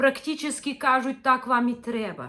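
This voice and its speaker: With fairly even intonation, a woman speaks at a high pitch and a fairly slow pace. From northern Ukraine, village of Luchanky. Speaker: religious video blogger. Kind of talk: impassioned appeal. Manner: earnest, reproachful.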